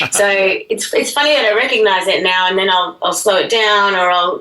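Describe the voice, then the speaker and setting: Amid noticeable background noise, a woman with an Australian accent and a fairly high pitch speaks at a very fast pace. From Australia, Brisbane. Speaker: musician and actress. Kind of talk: radio interview. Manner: clear; animated.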